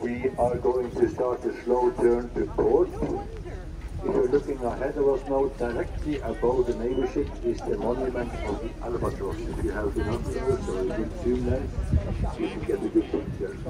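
Noticeable background noise sits behind this man. He talks at a moderate pace. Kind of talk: public announcement. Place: boat.

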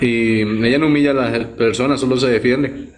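The voice belongs to a man. Behind him there is light background noise. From Costa Rica. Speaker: streamer's companion. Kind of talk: casual live stream chat. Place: home room. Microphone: phone near.

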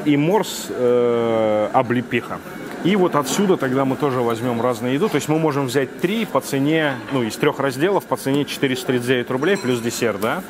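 Through noticeable background noise, a man talks at a moderate pace with ordinary pitch variation and very even loudness. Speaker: food vlogger reviewing a cafe lunch. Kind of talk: casual vlog chat, ordering from a waiter. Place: cafe. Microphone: lapel.

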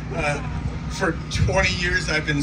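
The speaker is a man. He talks at a moderate pace against loud background noise. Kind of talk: acceptance speech. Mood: moved, grateful. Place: stage.

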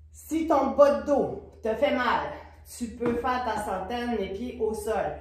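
A woman's voice with audible room echo. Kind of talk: exercise class instruction. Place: studio. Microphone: camera far.

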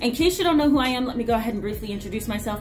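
A woman's voice over light background noise. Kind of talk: casual educational talk to camera. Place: office. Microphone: phone near.

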